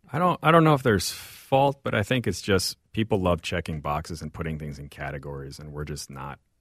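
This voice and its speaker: On a very clean recording with a silent background, a man with a Midwestern accent talks at a fairly quick pace with lively intonation, the sound dry and close with no echo. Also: big swings in loudness. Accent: American Midwestern. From St. Louis, Missouri (born in Mexico). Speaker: chef and restaurant owner. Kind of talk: interview conversation.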